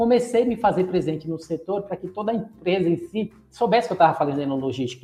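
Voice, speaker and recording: Very fast and high-pitched, a man speaks with a dark, mellow tone. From Bahia, Brazil. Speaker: logistics specialist and podcaster. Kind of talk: podcast interview.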